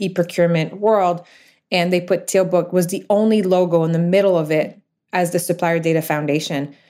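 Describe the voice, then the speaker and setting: On a very clean recording with a silent background, a woman speaks at a fairly low pitch in a monotone, flat intonation with a French Canadian accent. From Quebec, Canada. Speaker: startup founder and CEO. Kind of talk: interview conversation about business.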